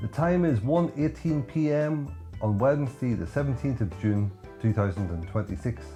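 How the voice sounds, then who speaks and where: Very even loudness and very wide pitch swings at a moderate pace, with music in the background. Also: man, medium pitch for a man. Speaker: podcast host. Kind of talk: podcast interview questions.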